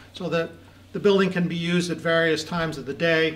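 At a fairly quick pace, a man with a fairly high pitch speaks in a monotone, flat intonation. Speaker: architect presenting project. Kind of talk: technical presentation. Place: meeting room. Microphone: camera far.

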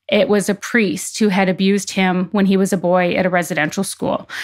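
A normal speaking voice with a Canadian accent talks at a moderate pace in a very clean recording with a silent background. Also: woman. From Canadian prairies. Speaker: investigative journalist. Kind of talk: interview.

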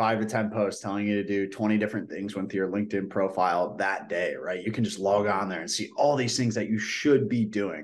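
Against a quiet background, a man speaks at a fairly quick pace with ordinary pitch variation. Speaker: guest career coach. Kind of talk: interview answer. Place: home room. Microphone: video call.

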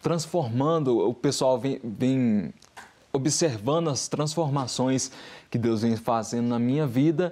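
Talking at a very slow pace, a man has a medium-pitched voice with a dark, mellow tone. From Brazil. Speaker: singer and visual artist; guest. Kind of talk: testimony. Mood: calm, earnest testimony. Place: studio.

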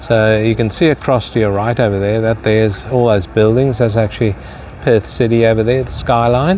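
A man with an unremarkable speaking voice talks at a fairly low pitch with fairly even intonation. The sound is dry with no echo, and there is light background noise. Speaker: travel vlogger. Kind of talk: casual vlog chat. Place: waterside. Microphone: phone near.

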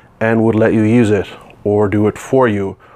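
The man's delivery moves at a moderate pace. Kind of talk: tutorial. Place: workshop. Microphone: lapel.

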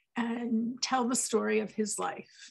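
A woman speaks in a monotone, flat intonation. The background is quiet. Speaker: event host introducing a speaker. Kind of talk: event host introduction. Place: home room. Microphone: headset.

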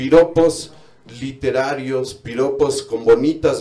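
Speaking at a very slow pace with a Mexican accent and ordinary pitch variation, a man is heard over noticeable background noise. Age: 30s. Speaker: comedian. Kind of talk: stand-up.

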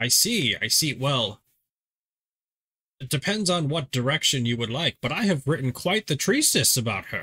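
A man doing a put-on character voice in a fairly high pitch speaks at a moderate pace with long, frequent pauses, recorded very cleanly against a silent background. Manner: scholarly, warm, absent-minded.

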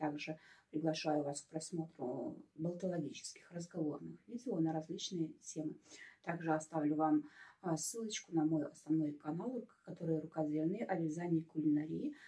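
Somewhat breathy and fairly low for a woman, her voice has a dark, mellow tone, ordinary pitch variation, and a moderate pace. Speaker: video blogger. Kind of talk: casual product review vlog. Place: home room. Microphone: phone near.

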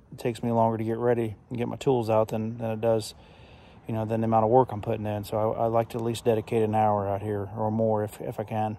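At a very fast pace, a man speaks in a dark, mellow tone with monotone, flat intonation and a dry sound with no echo. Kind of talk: casual vlog chat. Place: open country. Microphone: phone near.

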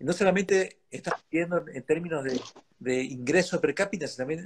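At a moderate pace, a man talks with lively intonation. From Argentina. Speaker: lawyer and think-tank director, interviewer; interviewer, lawyer. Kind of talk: interview conversation. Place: home room. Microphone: video call.

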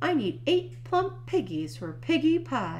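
A woman uses a put-on character voice pitched high, with big pitch swings. She speaks at a fairly slow pace.

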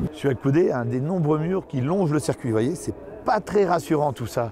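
A man speaks with lively intonation. The sound is dry with no echo, and there is noticeable background noise. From France. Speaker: motorcycle show host. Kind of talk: field reporting and interviews. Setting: outdoors at a race paddock.

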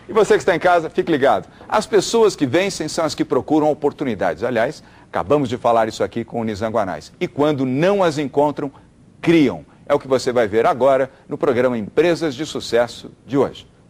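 Moderate pace and lively intonation. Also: man. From Brazil. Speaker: TV business show host. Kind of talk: TV interview; interview questions and to-camera presenting. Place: studio. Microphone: lapel.

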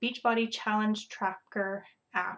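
Speaking at a fairly slow pace in a Canadian Prairies accent, a woman keeps a monotone, flat intonation at a fairly high pitch. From Saskatchewan, Canada. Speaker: fitness coach and pre-kindergarten teacher. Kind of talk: casual video chat. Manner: hesitant, filler-heavy.

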